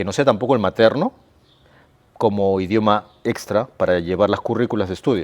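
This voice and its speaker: Long, frequent pauses break up a man's fairly quick speech, delivered at fairly low pitch with ordinary pitch variation. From Peru (Lima). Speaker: sports coach for children with ADHD. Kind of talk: casual chat.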